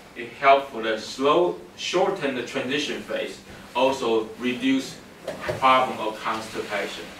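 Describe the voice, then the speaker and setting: The voice moves at a fairly slow pace with big swings in loudness. Audible room echo and noticeable background noise fill the recording. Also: man, medium pitch for a man, ordinary pitch variation. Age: 60s. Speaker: workshop speaker. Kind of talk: lecture.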